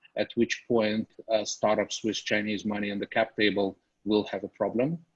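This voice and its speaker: Recorded with a dry, close sound and no echo, a man with a Russian accent speaks at a fairly low pitch with fairly even intonation. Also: moderate pace. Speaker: venture capital investor. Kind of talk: investor briefing Q&A.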